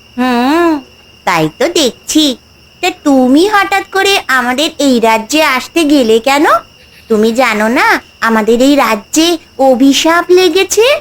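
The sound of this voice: This is a cartoonish character voice that sounds female. Its pitch is high for a woman. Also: fairly slow pace.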